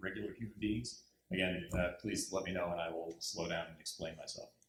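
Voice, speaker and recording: Audible room echo surrounds a man with an American accent. He speaks somewhat breathily at a fairly quick pace. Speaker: diplomat. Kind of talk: panel presentation. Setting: university lecture hall with audience. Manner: halting.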